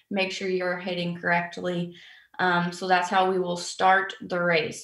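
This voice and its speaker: Monotone and flat, a woman speaks at a fairly slow pace with audible room echo over a quiet background. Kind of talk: briefing. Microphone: webcam.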